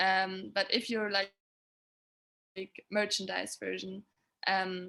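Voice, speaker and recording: In a German accent, a woman speaks very slowly at a medium pitch, her intonation monotone and flat and her tone bright and sharp. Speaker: sustainability consultant for music touring. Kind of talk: webinar presentation. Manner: halting, many fillers.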